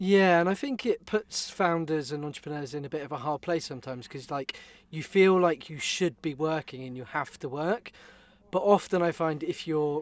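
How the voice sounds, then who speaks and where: A man speaks in a British accent. His voice sits fairly high in pitch. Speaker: podcast co-host. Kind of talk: casual chat.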